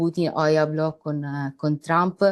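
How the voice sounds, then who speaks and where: Against a quiet background, a woman with a very deep, low pitch speaks at a very slow pace with ordinary pitch variation. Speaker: political analyst. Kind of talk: panel discussion. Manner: halting.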